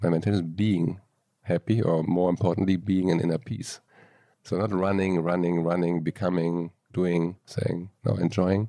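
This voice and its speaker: A man with a German accent speaks at a moderate pace in a very deep, low pitch. His tone is dark and mellow, and his intonation fairly even. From Germany, Aachen. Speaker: entrepreneur and coach. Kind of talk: interview.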